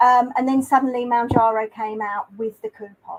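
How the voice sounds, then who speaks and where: With a British accent, a woman speaks in fairly even intonation, the sound dry and close with no echo. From UK. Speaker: YouTuber. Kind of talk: interview.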